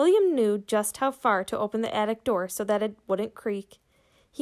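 The text is read aloud in a natural voice.

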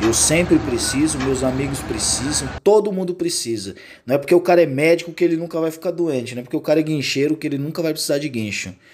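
Animated and very fast with hardly any pauses, a man speaks at a fairly high pitch with ordinary pitch variation amid noticeable background noise. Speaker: tow truck driver and YouTuber. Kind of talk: casual vlog. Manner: casual, animated.

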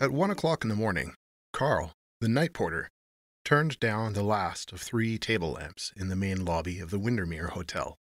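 In a very clean recording with a silent background and a dry, close sound free of echo, a man with an unremarkable speaking voice talks at a moderate pace in a fairly low pitch, his intonation lively. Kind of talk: audiobook reading of a short story.

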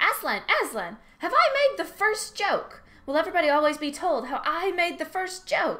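A woman puts on an extremely high-pitched character voice that swings very widely in pitch. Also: moderate pace. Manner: excited, eager.

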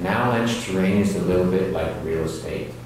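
Very deep, low voice of a man amid strong room echo and light background noise. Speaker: avalanche course instructor. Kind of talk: lecture. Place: hall.

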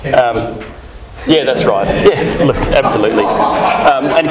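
A man speaks at a fairly slow pace. Loud background noise is present. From Australia. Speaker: conference speaker, software developer. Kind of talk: conference talk. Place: hall. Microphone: podium.

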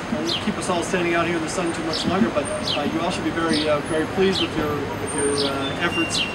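A man speaks at a fairly quick pace. Loud background noise runs underneath. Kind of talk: public speech. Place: street. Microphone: handheld.

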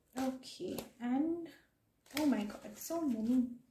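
A woman's high voice, dark and mellow in tone, carries ordinary pitch variation over noticeable background noise. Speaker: tarot reader. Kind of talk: tarot card reading. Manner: stammering; casual, conversational. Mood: excited, upbeat. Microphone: phone near.

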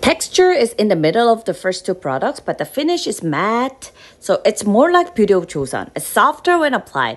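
Speaking with a Korean accent, the voice swings very widely in pitch. There are hardly any pauses. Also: woman, fairly high pitch for a woman, moderate pace. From South Korea. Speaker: makeup artist and beauty YouTuber; beauty YouTuber. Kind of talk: product review vlog. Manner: animated. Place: home room. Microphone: phone near.

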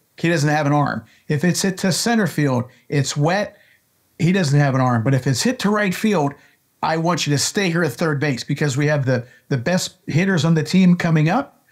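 Against a quiet background, a man with an American accent speaks at a moderate pace, fairly high in pitch, with ordinary pitch variation. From US, Pittsburgh. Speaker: baseball coach and scout. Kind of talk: interview conversation. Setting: video call. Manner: animated. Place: office. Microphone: webcam.

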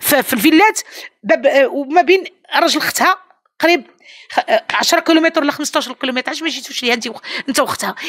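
Delivered at a very fast pace, the speech has lively intonation and an animated tone against a quiet background. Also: woman, high pitch for a woman. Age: 70s. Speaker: employer interviewed in news case; interviewee. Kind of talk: interview; interview answer. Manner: halting. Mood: indignant, defensive. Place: home room. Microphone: handheld.

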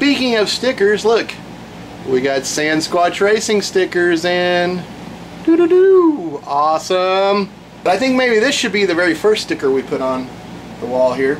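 Light background noise sits behind the speech. The pace is fairly slow. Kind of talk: casual vlog chat. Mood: relaxed, amused. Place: workshop. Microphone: camera far.

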